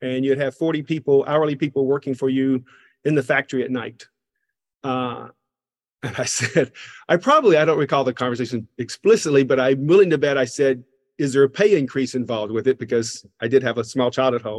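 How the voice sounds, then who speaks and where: A man with a plain, everyday voice talks at a fairly quick pace. His medium pitch shows ordinary variation. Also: dry, close sound with no echo. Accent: American. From US South, Georgia. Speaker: professor of practice. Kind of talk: interview conversation.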